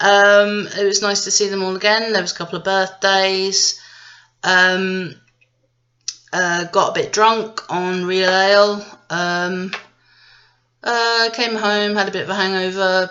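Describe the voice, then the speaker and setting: The speaker has a British accent and a fairly slow pace. Long, frequent pauses break up the speech. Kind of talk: casual tea review to camera. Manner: rambling, sarcastic.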